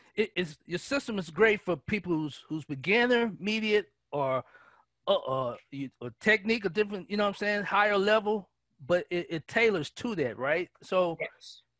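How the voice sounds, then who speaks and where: Against a quiet background, a man with a high voice speaks at a moderate pace with lively intonation, the sound dry with no echo. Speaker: podcast host. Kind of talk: interview. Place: home room. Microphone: headset.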